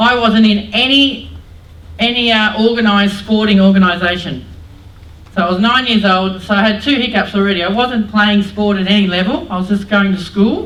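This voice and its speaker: An Australian accent at a moderate pace with ordinary pitch variation, amid noticeable background noise and audible room echo. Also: woman, medium pitch for a woman. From Australia, New South Wales (Mount Druitt, Sydney). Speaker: former Olympic softball player and PE teacher, motivational speaker. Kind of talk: motivational talk to students. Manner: loud; animated.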